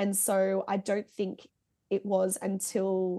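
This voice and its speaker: Against a quiet background, a woman with an Australian accent speaks at a medium pitch in a dark, mellow tone. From Singapore and Melbourne, Australia. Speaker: heavy band musician and music journalist. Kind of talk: casual chat.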